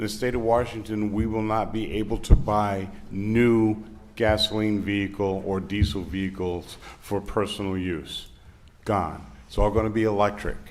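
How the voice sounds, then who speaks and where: Audible room echo surrounds a man who speaks at a moderate pace with a fairly low pitch and monotone, flat intonation. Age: 60s. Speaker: public commenter at city council meeting. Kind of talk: public comment. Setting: city council meeting room.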